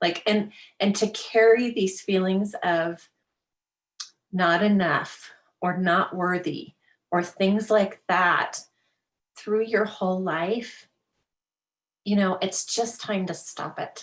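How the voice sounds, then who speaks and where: A woman speaks at a very slow pace with long, frequent pauses. Her medium pitch carries fairly even intonation. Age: 50s. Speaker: life coach. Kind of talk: interview. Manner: casual, filler-heavy.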